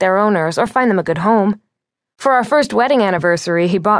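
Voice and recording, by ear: With a quiet background, a passage is read aloud in a natural voice.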